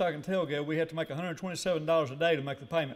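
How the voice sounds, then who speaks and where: Speaking at a fairly quick pace in an Arkansas accent, a man keeps his intonation fairly even. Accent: Southern US, Arkansas. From US South, northeast Arkansas. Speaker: award recipient, businessman. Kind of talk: acceptance speech. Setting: breakfast banquet with audience. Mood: reflective storytelling. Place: hall. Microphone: podium.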